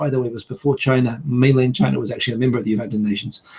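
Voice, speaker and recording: A man talks at a very fast pace in a somewhat breathy voice with a dark, mellow tone. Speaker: video blogger. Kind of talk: casual podcast discussion. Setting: online video call.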